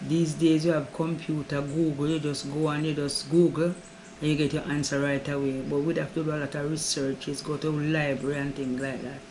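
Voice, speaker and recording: A woman talks at a fairly quick pace in a very deep, low pitch. Her intonation stays monotone and flat over noticeable background noise. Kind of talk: interview answer.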